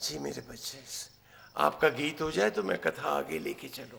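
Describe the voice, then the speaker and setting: A man with a non-native accent is heard against noticeable background noise. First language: not Marathi (speaking Hindi). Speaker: religious storyteller. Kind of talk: religious discourse. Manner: animated.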